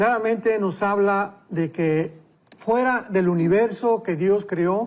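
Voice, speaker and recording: Talking at a very slow pace, a man holds a high pitch with fairly even intonation and very even loudness. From Mexico. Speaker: pastor and Bible teacher. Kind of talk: Bible teaching in a talk show interview.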